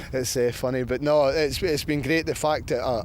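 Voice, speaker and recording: Fairly even intonation at a fairly quick pace, in a Scottish accent. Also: man. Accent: Scottish, retained. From Scotland, Glasgow. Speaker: football coach. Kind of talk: interview.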